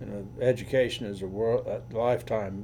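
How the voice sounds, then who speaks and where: A man with a medium pitch and a dark, mellow tone speaks with vocal fry and fairly even intonation, with audible room echo around him. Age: 70s. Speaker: attorney. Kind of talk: casual chat. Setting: recorded conversation with a friend on camera.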